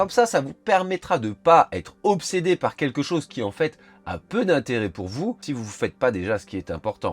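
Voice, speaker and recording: A man's hoarse, put-on character voice, fairly high-pitched, at a moderate pace with very wide pitch swings. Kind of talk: explanatory, informative.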